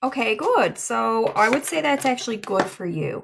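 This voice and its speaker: A woman speaks with a Newfoundland accent and a fairly high pitch. Her pace is fairly slow. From Newfoundland, Canada. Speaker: livestream psychic medium. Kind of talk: livestream tarot reading chat. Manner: casual, halting with fillers.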